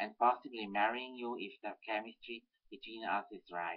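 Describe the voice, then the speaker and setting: With a Swiss German accent, a man speaks at a moderate pace. His intonation is fairly even, and the background is quiet. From German-speaking Switzerland. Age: 30s. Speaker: political activist. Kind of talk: reading aloud. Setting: webcam recording. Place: home room. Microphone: webcam.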